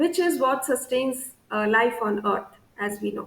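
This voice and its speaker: A woman talks fairly slowly, her pitch swinging very widely. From India, Assam. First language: Bengali. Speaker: scientist. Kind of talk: interview monologue on career. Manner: frequent hesitations (uh).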